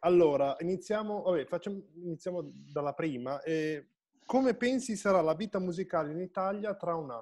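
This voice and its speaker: Over a quiet background, a man speaks with lively intonation. His pitch is high. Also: moderate pace. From Piedmont, Italy. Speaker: online show host and musician; online show host. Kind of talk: casual interview chat. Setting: live Facebook video stream. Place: home room. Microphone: video call.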